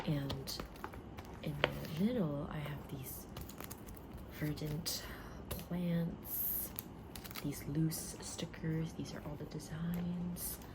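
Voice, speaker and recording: A woman whispers at a very slow pace, with long, frequent pauses and big swings in loudness. Loud background noise runs underneath. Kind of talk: ASMR shop role-play. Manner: soft-spoken.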